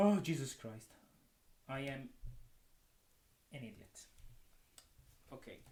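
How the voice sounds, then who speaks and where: In a non-native accent, the speaker talks fairly slowly with lively intonation, a dark, mellow tone, long and frequent pauses, and audible room echo. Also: man, fairly high pitch for a man. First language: not English. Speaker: wrestling commentator. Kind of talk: solo commentary. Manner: animated.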